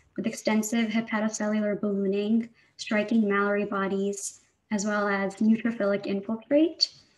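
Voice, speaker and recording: A woman speaks in a fairly high, somewhat breathy voice at a moderate pace. Her intonation is monotone and flat. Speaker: physician presenting a case. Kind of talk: case presentation. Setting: video call.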